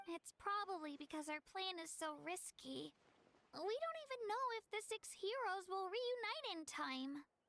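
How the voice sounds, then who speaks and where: Squeaky and extremely high, the voice is a put-on character. Its pace is moderate. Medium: video game.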